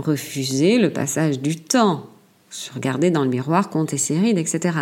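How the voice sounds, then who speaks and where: This woman's voice is very deep and low, with a dark, mellow tone. She speaks at a very slow pace. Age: 60s. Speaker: podcaster. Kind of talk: solo monologue. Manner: halting, frequent repetitions.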